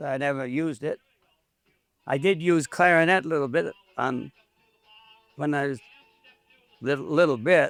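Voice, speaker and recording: A man with an American accent speaks at a moderate pace in a fairly high voice, his intonation fairly even. Long, frequent pauses break up his speech while music plays in the background. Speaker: retired dance band musician. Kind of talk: oral history interview answer.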